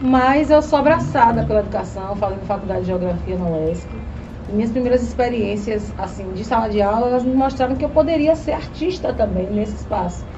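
Over noticeable background noise and audible room echo, a woman talks fairly quickly in a fairly high pitch. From Bahia, Brazil (rural district near Itabuna). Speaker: schoolteacher and activist. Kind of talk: casual interview.

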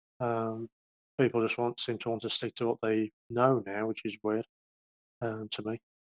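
A man talks at a fairly quick pace with a medium pitch and an English Midlands accent. The sound is dry and close, with no echo. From English Midlands, near Birmingham. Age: 40s. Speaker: rapper and graphic artist. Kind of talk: casual interview. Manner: halting.

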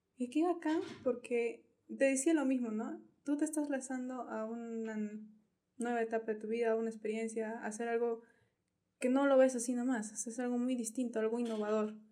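This woman speaks at a moderate pace in a fairly high pitch with fairly even intonation. Her tone is dark and mellow. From Peru, La Joya district (Arequipa). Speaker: athlete and pageant contestant. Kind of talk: casual chat.

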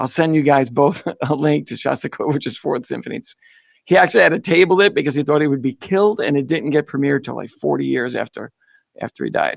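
Very fast and fairly high-pitched, a man speaks with vocal fry and ordinary pitch variation in a dry, close sound with no echo. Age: 50s. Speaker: podcast co-host. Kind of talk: casual chat.

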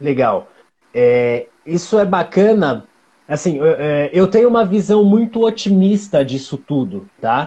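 Dark and mellow in tone, a man with a high pitch speaks at a fairly slow pace with very wide pitch swings. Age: 40s. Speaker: live-stream host, creative community organizer. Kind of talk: casual live-stream interview. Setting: online live stream.

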